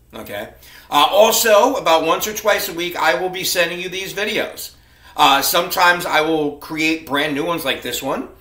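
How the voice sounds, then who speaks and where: A man speaks at a moderate pace in a high voice with ordinary pitch variation. Audible echo fills the room. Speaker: college instructor. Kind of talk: class welcome talk to students. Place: home room. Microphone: webcam.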